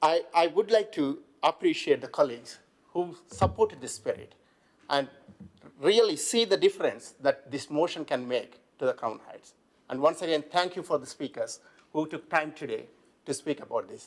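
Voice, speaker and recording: A man with a non-native accent at a moderate pace, his loudness swinging widely. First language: not English. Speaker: local councillor. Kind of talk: council debate speech. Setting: council chamber.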